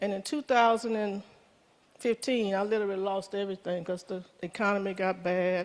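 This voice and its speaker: The speaker has a Louisiana accent and keeps a moderate pace. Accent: Southern US (Louisiana). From US South, Baton Rouge, Louisiana. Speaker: member giving a testimony. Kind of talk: testimony.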